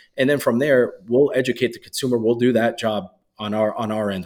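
This man has a plain, everyday voice. He speaks fairly quickly at a medium pitch. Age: 30s. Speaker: supplement company owner. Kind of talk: casual interview.

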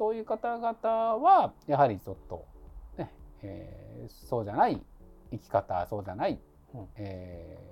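A man at a fairly slow pace, with big swings in loudness. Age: 50s. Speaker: labor and social security attorney. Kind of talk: casual chat.

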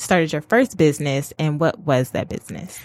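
This woman has an ordinary speaking voice with ordinary pitch variation at a moderate pace. The sound is dry and close, with no echo. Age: 20s. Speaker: podcast host. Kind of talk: casual interview; reading aloud.

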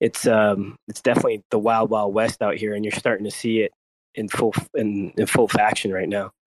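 A man's fairly low voice in a monotone, flat delivery. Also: moderate pace, dry, close sound with no echo. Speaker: crypto community member. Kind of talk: casual chat. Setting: online audio space.

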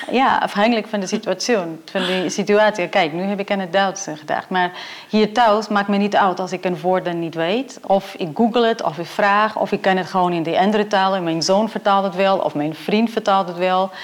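A woman speaks at medium pitch and a moderate pace with fairly even intonation, and noticeable background noise runs behind her. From Portugal. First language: Portuguese (speaking Dutch). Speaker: professor. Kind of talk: interview.

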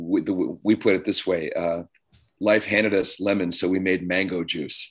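A man with a Canadian accent and an unremarkable speaking voice talks at a fairly slow pace, his fairly low pitch showing ordinary pitch variation. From Canada, Ontario. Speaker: conference organizer and commentator. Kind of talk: talk radio interview.

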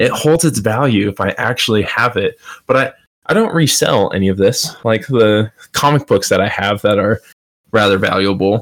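At a moderate pace, a man with a plain, everyday voice and an American accent speaks at a medium pitch with ordinary pitch variation. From Colorado. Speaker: gaming podcast co-host. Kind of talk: casual chat.

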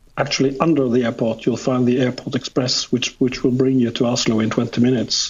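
Flat and monotone, a man with a Norwegian accent speaks at medium pitch. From Norway. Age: 50s. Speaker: photographer. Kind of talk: interview. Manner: halting.

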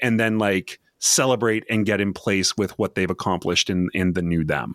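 This is an ordinary speaking voice with a Canadian accent, at a moderate pace and with ordinary pitch variation. The recording is very clean and dry, close with no echo, over a silent background. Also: man. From Canada. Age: 40s. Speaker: leadership trainer. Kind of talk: casual chat.

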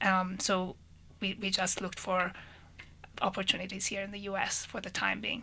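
With long, frequent pauses, a woman speaks at a moderate pace in a medium-pitched, bright, sharp voice that is monotone and flat, with vocal fry. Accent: Persian. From Iran (Tehran). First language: Persian. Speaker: engineering professor. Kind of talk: radio panel discussion. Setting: studio.

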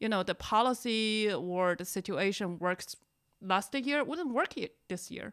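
Over a silent background on a very clean recording, a woman with a Chinese accent speaks at a medium pitch with lively intonation. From China. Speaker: podcast host, NGO communications manager. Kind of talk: casual chat.

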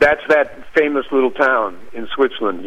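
Speaking with an American accent, a man uses a plain, everyday voice, fairly even intonation and a moderate pace. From Chicago, South Side (Hyde Park). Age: 50s. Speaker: jazz trombonist and composer. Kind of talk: interview.

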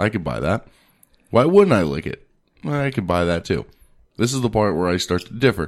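Loud and animated, a man with a fairly low pitch speaks at a moderate pace, swinging his pitch very widely and leaving long, frequent pauses. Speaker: podcast host. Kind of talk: casual chat. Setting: studio.

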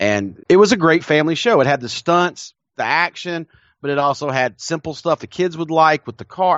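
A man with a Southern US accent talks with lively intonation. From South Carolina, US South. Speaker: podcast co-host. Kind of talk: casual chat. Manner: halting with frequent repetitions.

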